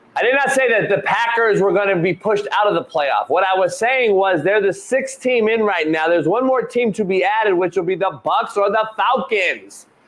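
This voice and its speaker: At a moderate pace, a man with a high pitch sounds animated, his loudness very even and his pitch varying in an ordinary way, with noticeable background noise present. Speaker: sports talk show host. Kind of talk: live sports talk show.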